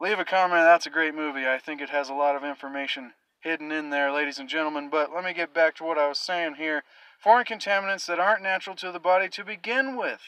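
Speech runs at a very fast pace with a bright, sharp tone, ordinary pitch variation and big swings in loudness. The sound is dry with no echo, over a quiet background. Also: man. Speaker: vlogger. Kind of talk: casual vlog monologue on health topic. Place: car. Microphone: phone near.

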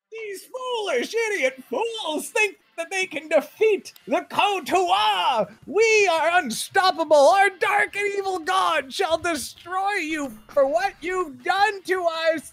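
A put-on character voice, shouting at an extremely high pitch and a fairly slow pace. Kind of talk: tabletop game session narration. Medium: actual play. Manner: theatrical, shouting.

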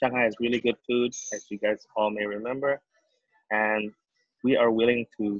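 Speaking with an Indonesian accent, a man keeps a monotone, flat intonation at a fairly slow pace. The background is quiet and the sound is dry with no echo. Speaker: startup founder. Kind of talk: webinar talk. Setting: video call. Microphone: video call.

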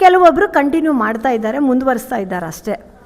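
Over noticeable background noise, a woman talks in a high pitch with very wide pitch swings. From north Karnataka, Vijayapura. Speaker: bhajan group member. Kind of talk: testimony.

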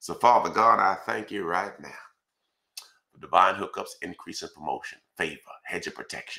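The background is quiet. The pace is moderate. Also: man. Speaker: pastor. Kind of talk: fervent, rhythmic spoken prayer stacking scripture verses. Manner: repetitive incantatory cadence, each line opening 'Father God, I thank you'. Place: home room.

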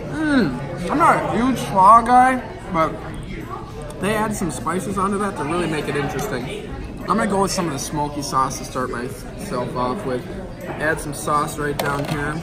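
Crowd noise fills the background. A man speaks over it at a moderate pace. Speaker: food reviewer. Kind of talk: casual food review vlog. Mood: enthusiastic, delighted. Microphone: phone near.

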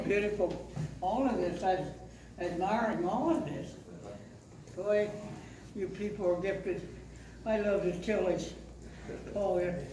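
The speech is fairly slow, with long, frequent pauses and fairly even intonation. Audible room echo and noticeable background noise fill the recording. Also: man. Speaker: pastor. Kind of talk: casual remarks to an audience. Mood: warm, grateful. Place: church.

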